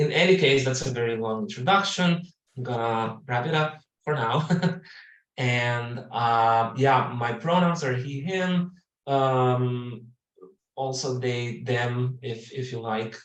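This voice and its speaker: A man with a non-native accent at a medium pitch, very slow pace and ordinary pitch variation. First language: not English. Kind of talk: webinar introduction. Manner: halting, searching for words.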